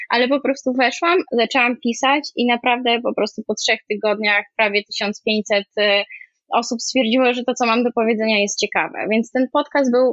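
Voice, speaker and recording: Speaking at a moderate pace, a woman keeps a high pitch with ordinary pitch variation and very even loudness. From Poland, Kraków. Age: 20s. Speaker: former art director, now homemaker and online commentator. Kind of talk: interview.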